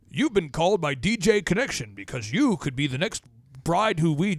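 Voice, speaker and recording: A put-on character voice at a moderate pace. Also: man, high pitch for a man. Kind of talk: formulaic, spammy sales pitch.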